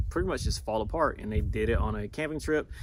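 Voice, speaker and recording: A man is speaking. His pace is very fast. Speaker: sneaker reviewer on video channel. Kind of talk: product review vlog. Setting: outdoors at campsite. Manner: quiet indoor voice; casual, hesitant.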